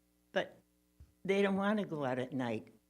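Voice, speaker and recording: A woman with an American accent speaks at a moderate pace with lively intonation while music plays in the background. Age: 80s+. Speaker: public commenter. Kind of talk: public comment. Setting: city commission meeting.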